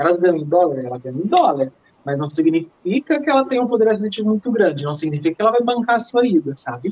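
Very wide pitch swings at a very fast pace. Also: woman, medium pitch for a woman. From Minas Gerais, Brazil. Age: 20s. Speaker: dancer and choreographer. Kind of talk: podcast interview.

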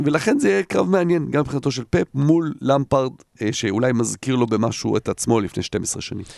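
A man speaks in a normal speaking voice at medium pitch, fairly quickly and with lively intonation, in a very clean, silent, dry and close recording with no echo. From Jerusalem, Israel, partly raised in the Netherlands. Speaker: football pundit. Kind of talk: casual chat.

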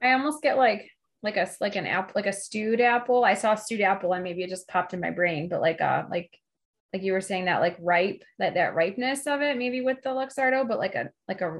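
A plain, everyday voice with lively intonation moves at a fairly quick pace. The background is quiet. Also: woman. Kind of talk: casual chat.

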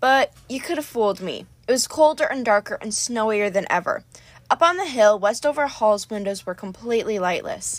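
Everything here comes in a natural reading voice.

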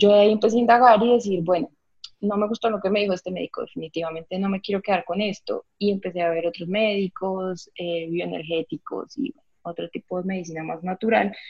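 Talking at a fairly quick pace, a woman keeps a medium pitch with ordinary pitch variation. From Colombia, Villavicencio (Meta). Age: 30s. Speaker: vegan restaurant co-founder. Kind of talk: interview. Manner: animated.

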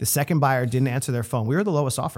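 The clip has a man at a medium pitch in a very clean recording with a silent background. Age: 30s. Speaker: podcast host and real estate agent. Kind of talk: casual interview.

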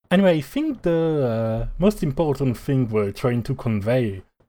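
In a very clean recording with a silent background, a man talks in a dark, mellow tone. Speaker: podcast co-host. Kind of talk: casual chat.

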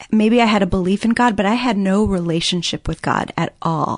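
A plain, everyday voice with an American accent, speaking at a moderate pace with ordinary pitch variation. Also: woman. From US Midwest. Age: 30s. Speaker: guest sharing personal story of abuse and recovery. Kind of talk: testimony.

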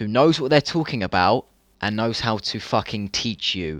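This man has a British accent and a medium pitch. His intonation is lively. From UK. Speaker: dropshipping entrepreneur. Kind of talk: casual chat.

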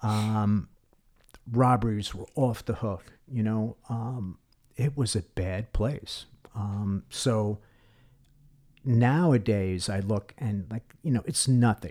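A man with a New York accent, a fairly low pitch and a dark, mellow tone, at a very slow pace with long, frequent pauses. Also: ordinary pitch variation. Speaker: retired police detective. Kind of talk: podcast interview.

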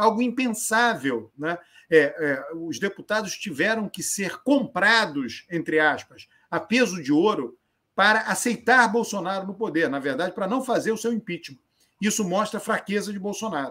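A man's raised, projected voice, high-pitched, lively in intonation, at a moderate pace. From Brazil, Northeast (Alagoas). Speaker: political scientist and professor. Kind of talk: live-stream interview.

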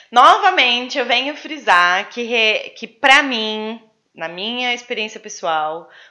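The speaker has a Brazilian accent and a bright, sharp tone. Delivery is very slow, with lively intonation. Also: woman. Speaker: podcast co-host. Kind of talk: casual chat. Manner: animated.

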